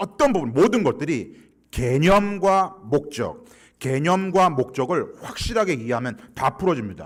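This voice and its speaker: With a Gyeongsang accent, a man speaks in very wide pitch swings on a very clean recording with a silent background. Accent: Gyeongsang Korean dialect. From Gyeongsang region, South Korea. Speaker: guest pastor, church consultant. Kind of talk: sermon. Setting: church.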